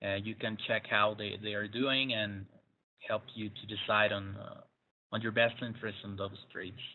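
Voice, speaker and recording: A man's fairly low voice with a Spanish accent, monotone and flat in intonation, at a moderate pace. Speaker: trading webinar presenter. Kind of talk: webinar. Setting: online webinar broadcast. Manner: hesitant, many fillers.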